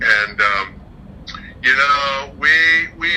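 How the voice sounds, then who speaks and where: A man talks as noticeable background noise goes on around him. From Northern California, Bay Area. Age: 60s. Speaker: senior sharing life experience. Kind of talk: casual interview, personal story. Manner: halting.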